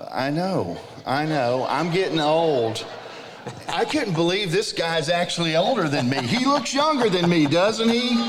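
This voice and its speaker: Amid noticeable background noise and audible room echo, a man speaks at a fairly slow pace and high pitch, with very wide pitch swings and very even loudness. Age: 50s. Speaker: music producer and ministry leader. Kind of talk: conference panel conversation. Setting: stage with audience.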